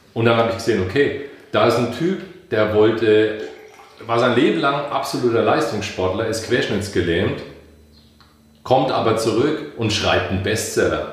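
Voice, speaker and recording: Pausing long and often, a man at medium pitch with ordinary pitch variation is heard through noticeable background noise and audible room echo. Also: moderate pace. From Franconia, Bamberg (Germany). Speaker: life coach and musician. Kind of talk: interview conversation.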